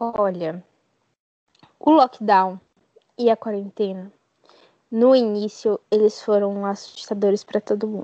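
A woman with a medium pitch speaks at a fairly slow pace. Her intonation is fairly even, and she takes long, frequent pauses. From Bahia, Brazil. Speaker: podcast guest, science student. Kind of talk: casual interview.

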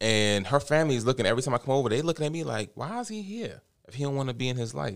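On a very clean recording with a silent background, a man with an American accent talks at a very fast pace, his medium-pitched voice carrying lively intonation. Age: 30s. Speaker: father. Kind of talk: casual chat.

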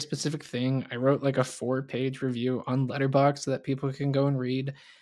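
A man with an American accent talks at a fairly quick pace in a plain, everyday voice, his pitch fairly high. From US South. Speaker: podcast co-host. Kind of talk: casual chat.

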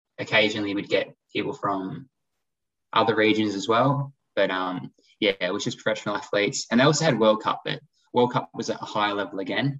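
Speech comes fairly quickly. The pitch rises and falls in an ordinary way. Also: man, fairly low pitch for a man. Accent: Australian. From Australia. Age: 20s. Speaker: former professional triathlete, exercise physiologist. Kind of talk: casual interview chat.

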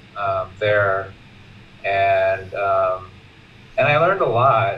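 Over music in the background, someone with an American accent speaks at a very slow pace. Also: man. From US West Coast. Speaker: retired teacher, Buddhist student. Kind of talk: personal sharing. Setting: video call.

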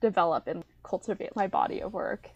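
A woman with an American accent speaks at a moderate pace, her voice dry and close with no echo. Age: young adult, 19. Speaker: college student, art history major. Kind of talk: casual interview chat. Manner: animated, lots of filler words and laughs.

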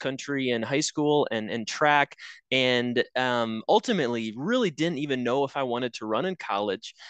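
A man's fairly high voice, dry and close with no echo, ordinary pitch variation, moderate pace, quiet background. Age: 30s. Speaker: college track and cross country head coach. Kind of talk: casual interview. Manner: halting, many fillers.

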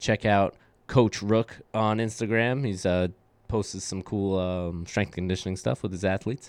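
A man with an American accent speaks in an ordinary speaking voice, fairly low, at a moderate pace with fairly even intonation, and the sound is dry and close with no echo. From Brooklyn, New York. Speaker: podcast host, weightlifting coach. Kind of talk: casual chat.

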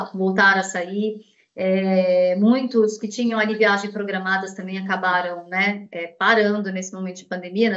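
A woman speaks at a medium pitch and a fairly slow pace. Her intonation is flat and monotone. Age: 40s. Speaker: banking sales manager. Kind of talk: interview.

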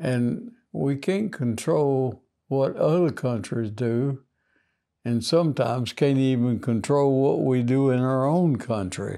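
A man's dark, mellow voice with a Southern US accent, very slow pace and very even loudness, on a very clean recording with a silent background. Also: medium pitch for a man, ordinary pitch variation. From US South, Mississippi. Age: 80s+. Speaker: war veteran. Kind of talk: casual chat.

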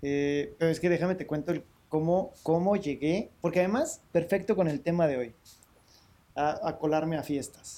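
A man's high voice in a dark, mellow tone, at a moderate pace with ordinary pitch variation. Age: 40s. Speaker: podcast co-host. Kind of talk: casual chat.

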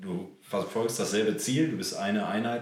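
A man talks at a moderate pace. His pitch varies in an ordinary way over noticeable background noise. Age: 30s. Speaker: amateur footballer and club board member. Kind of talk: casual chat. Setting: on location at a club.

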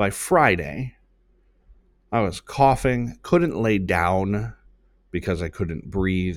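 A man with a very deep, low voice speaks at a very slow pace. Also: very clean recording, silent background. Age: 30s. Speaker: podcast host and marketing business owner. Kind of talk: solo podcast monologue; motivational talk.

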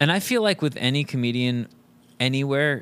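An unremarkable speaking voice with an American accent, a fairly quick pace and ordinary pitch variation. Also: man. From Thousand Oaks, California. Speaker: comedian and musician. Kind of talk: casual chat. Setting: studio.

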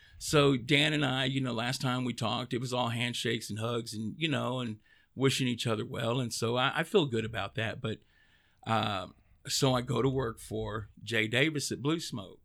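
The recording is very clean and its background silent. In it, a man talks in a Texan accent. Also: medium pitch for a man, fairly even intonation, moderate pace. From Texas, East Dallas. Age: 40s. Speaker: cigar brand sales rep. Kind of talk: interview. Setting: studio.

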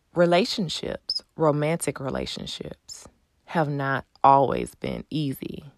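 A woman talks with a Texan accent. Her pace is very slow. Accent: Texan American English. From Texas, Houston. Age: 30s. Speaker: podcast host. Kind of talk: personal storytelling monologue; subscribe appeal.

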